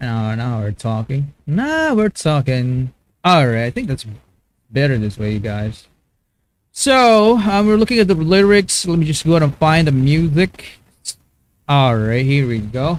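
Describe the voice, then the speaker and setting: A fairly high-pitched man with a Filipino accent, fairly slow pace and very wide pitch swings. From Philippines. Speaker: YouTube music reactor. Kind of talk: live-stream reaction commentary. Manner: halting, many fillers and repetitions.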